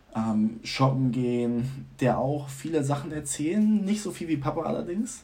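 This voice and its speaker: A man with an ordinary speaking voice, lively intonation and a moderate pace. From Germany. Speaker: student. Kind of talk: casual chat.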